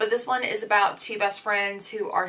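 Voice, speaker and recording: A woman talks here. She keeps a moderate pace. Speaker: book vlogger. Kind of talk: casual vlog chat. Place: home room.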